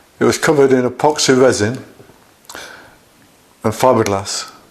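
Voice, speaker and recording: A male voice of medium pitch holds a medium tempo against clearly audible background noise. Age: 70s. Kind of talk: personal video diary monologue. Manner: halting.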